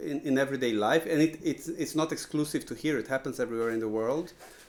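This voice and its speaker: A man with a Portuguese accent and ordinary pitch variation. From Brazil. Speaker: composer. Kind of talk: lecture. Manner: halting, many repetitions and fillers.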